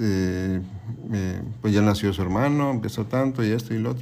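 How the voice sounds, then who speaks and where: A man with a dark, mellow tone speaks at a fairly slow pace amid audible room echo. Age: 50s. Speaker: guest's father. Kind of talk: casual family conversation. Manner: halting.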